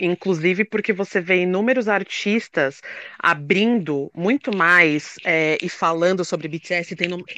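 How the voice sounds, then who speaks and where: A bright, sharp tone with ordinary pitch variation and dry, close sound, no echo. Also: woman. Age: 30s. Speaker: writer and K-pop content producer. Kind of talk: casual chat. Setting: live audio room.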